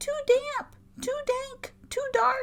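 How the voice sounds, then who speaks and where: An extremely high, squeaky put-on character voice. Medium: read story.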